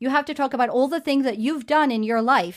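Talking at a fairly quick pace, a woman with a high pitch comes through on a very clean recording with a silent background. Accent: New York. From New York City. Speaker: libertarian local elected official. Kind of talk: talk show interview.

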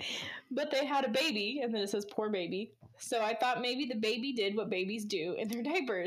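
Heard here is a natural reading voice whose pitch varies in an ordinary way.

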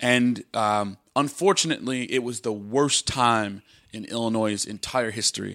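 On a very clean recording with a silent background, a man with a medium pitch and a bright, sharp tone talks at a moderate pace with ordinary pitch variation. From US Midwest, Chicago. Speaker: entrepreneur. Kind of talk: casual interview chat.

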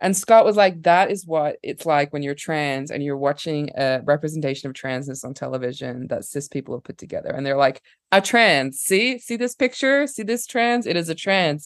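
In an Australian accent, the speaker keeps a moderate pace with hardly any pauses against a quiet background. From Australia, Perth. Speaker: filmmaker and artist. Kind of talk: casual chat.

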